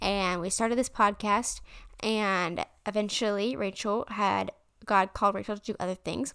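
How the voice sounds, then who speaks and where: Medium in pitch, a woman speaks with fairly even intonation in an unremarkable speaking voice. The recording is very clean, with a silent background. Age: young. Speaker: faith podcast host. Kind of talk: casual story time monologue.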